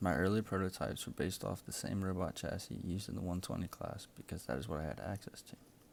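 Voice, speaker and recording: His voice is very deep and low, with vocal fry. The man talks at a fairly quick pace. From South Louisiana marshes. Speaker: engineering student. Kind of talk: class project presentation. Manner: scripted.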